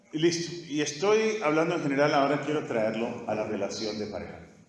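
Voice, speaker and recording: This voice moves at a moderate pace with very wide pitch swings. Audible room echo and noticeable background noise fill the recording. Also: man. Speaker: pastor teaching a church course. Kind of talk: sermon-style teaching session. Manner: repetitive, emphatic.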